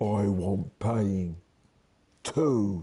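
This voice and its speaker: A husky, low-pitched, put-on character voice comes through. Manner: gruff, demanding.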